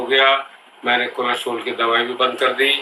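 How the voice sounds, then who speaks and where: A man speaks at a medium pitch in a monotone, flat intonation. Noticeable background noise runs underneath. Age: 70s. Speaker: patient giving testimonial. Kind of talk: testimony.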